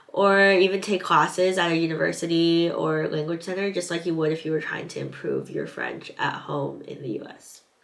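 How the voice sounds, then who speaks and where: A woman with a Californian accent at a moderate pace, over noticeable background noise. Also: hardly any pauses. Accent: Californian American English. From Southern California. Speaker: English teaching assistant, vlogger. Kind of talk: vlog advice talk, partly read from notes.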